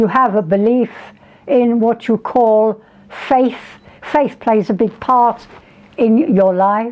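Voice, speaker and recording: A woman speaks very slowly in a high voice with lively intonation. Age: 80s+. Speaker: medium and healer. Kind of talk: interview answer.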